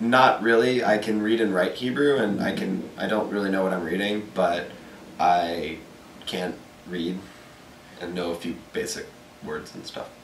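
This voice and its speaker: A man with a fairly low pitch and ordinary pitch variation speaks with long, frequent pauses. Noticeable background noise and audible room echo fill the recording. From Texas, Dallas. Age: 20s. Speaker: college student. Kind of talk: interview. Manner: halting.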